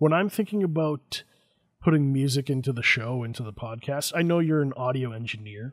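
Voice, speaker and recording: A man's fairly high voice at a fairly quick pace, with ordinary pitch variation, on a very clean recording over a silent background. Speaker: podcast host. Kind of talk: podcast interview. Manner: soft-spoken.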